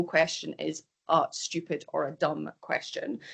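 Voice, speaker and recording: The speaker is a woman with a Scottish accent. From Scotland. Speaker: microbiology professor. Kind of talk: lecture. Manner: fast.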